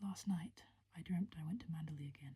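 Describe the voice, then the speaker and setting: The voice is soft-spoken, delivered in a whisper. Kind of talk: soft-spoken ASMR audiobook reading of a gothic novel for sleep. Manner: soft-spoken, whispering.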